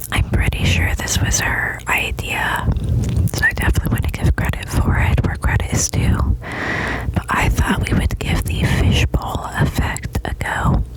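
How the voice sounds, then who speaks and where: Whispering at a fairly slow pace with hardly any pauses, over noticeable background noise. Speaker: ASMR artist. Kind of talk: ASMR personal attention storytelling. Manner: whispered, soft-spoken.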